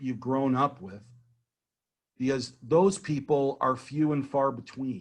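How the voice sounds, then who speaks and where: A man with a plain, everyday voice speaks at a fairly high pitch and fairly slow pace over a quiet background. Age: 60s. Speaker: business consultant giving a networking workshop. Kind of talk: workshop talk.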